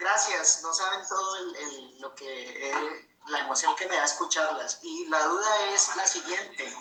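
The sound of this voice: A man with a Colombian accent speaks at a fairly slow pace, his fairly high voice carrying a bright, sharp tone. His pitch varies in an ordinary way, and the room echo is audible.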